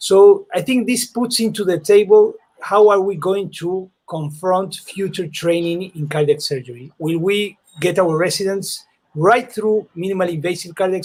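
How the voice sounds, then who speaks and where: A man with a high pitch, ordinary pitch variation and a moderate pace. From South America. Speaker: cardiac surgeon. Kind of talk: panel discussion. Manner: halting.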